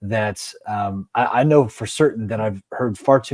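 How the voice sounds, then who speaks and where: A man with a normal speaking voice and fairly low pitch is heard on a very clean recording with a silent background. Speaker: leadership coach and show host. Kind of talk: interview conversation.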